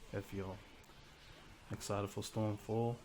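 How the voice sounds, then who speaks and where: A man's fairly low voice at a moderate pace. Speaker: gaming YouTuber. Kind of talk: casual gaming commentary. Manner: monotone; halting, many fillers.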